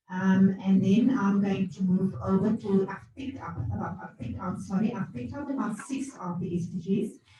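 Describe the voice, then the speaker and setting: A woman's medium-pitched voice with lively intonation, hardly any pauses, a moderate pace, and noticeable background noise. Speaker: academic. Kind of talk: conference presentation. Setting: conference hall, hybrid event.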